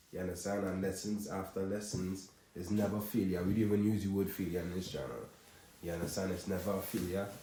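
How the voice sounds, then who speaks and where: A man's very deep, low voice in a Trinidadian accent, dark and mellow in tone, somewhat breathy, with fairly even intonation at a fairly quick pace. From Trinidad and Tobago. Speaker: content creator. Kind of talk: vlog monologue to camera. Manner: casual, filler-heavy.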